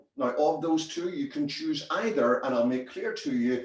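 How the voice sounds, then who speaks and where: A man with a Northern Irish accent is heard with audible room echo. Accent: Northern Irish, retained. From Northern Ireland, Belfast. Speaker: business consultant. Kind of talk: presentation.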